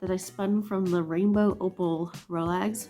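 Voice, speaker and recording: Over music in the background, a woman talks at a fairly slow pace, her medium pitch showing ordinary variation. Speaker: hand spinner. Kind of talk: casual vlog talk to camera.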